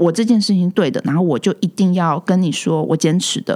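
On a very clean recording with a silent background, a woman speaks with a fairly low pitch and ordinary pitch variation. Her tone is dark and mellow. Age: 30s. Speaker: care home owner. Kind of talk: casual interview chat. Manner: animated.

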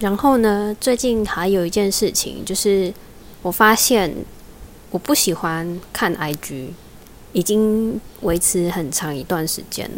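A woman with a Taiwanese accent speaks at a very slow pace. Her pitch is medium, with ordinary pitch variation. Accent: Taiwanese Mandarin. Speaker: podcast host, job seeker. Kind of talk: casual solo talk. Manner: unnatural, phone-trained voice.

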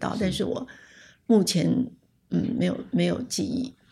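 A woman speaks with a dark, mellow tone. Vocal fry runs through her voice. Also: very clean recording, silent background. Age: 70s. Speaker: communication scholar, retired professor. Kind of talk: interview, personal recollection. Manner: halting, many fillers and repetitions.

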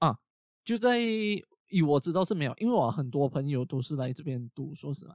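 Speaking at a fairly quick pace with lively intonation, a man uses a fairly high pitch and big swings in loudness, broken by long, frequent pauses. The sound is dry and close, with no echo. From Malaysia. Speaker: podcast host. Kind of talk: casual chat. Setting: video call.

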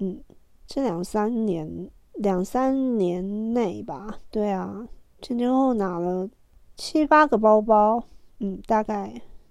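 A woman with a fairly high pitch speaks at a very slow pace over a quiet background. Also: ordinary pitch variation. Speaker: solo podcaster, fashion media insider. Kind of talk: casual monologue. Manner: halting with fillers.

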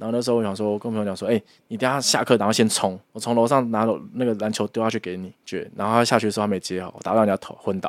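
A man talks very fast in a fairly low voice, his intonation flat and monotone. The recording is very clean, with a silent background. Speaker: podcast co-host. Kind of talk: casual chat.

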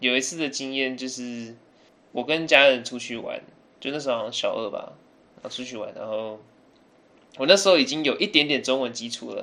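A man speaks at a moderate pace in a medium pitch with a bright, sharp tone, big swings in loudness, and long, frequent pauses. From Taiwan (early childhood in England). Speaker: podcast guest. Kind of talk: casual chat.

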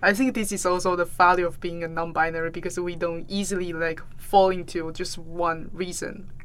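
In a Taiwanese Mandarin accent, a woman speaks at a moderate pace with a fairly low pitch, a monotone, flat intonation and hardly any pauses. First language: Mandarin Chinese. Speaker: podcast host and artist. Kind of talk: interview.

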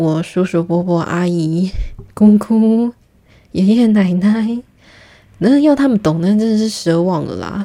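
A woman speaks very slowly in a dark, mellow tone. She leaves long, frequent pauses. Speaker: podcast host, PR professional. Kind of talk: casual solo monologue. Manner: laughs often, filler-heavy.

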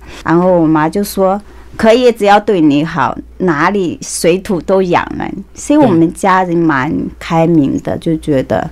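A woman speaks at a fairly slow pace. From Anhui, China. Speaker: beauty salon owner. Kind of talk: casual interview chat. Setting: studio.

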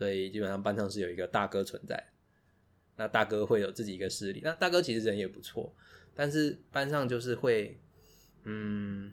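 With music in the background, a man of fairly low pitch talks at a moderate pace with ordinary pitch variation. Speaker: podcast co-host. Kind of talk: casual chat.

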